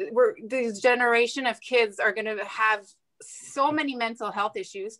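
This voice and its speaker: A woman speaks at a moderate pace with a bright, sharp tone. Her pitch is fairly high, with ordinary pitch variation. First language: not English. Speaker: nurse. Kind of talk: interview. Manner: halting.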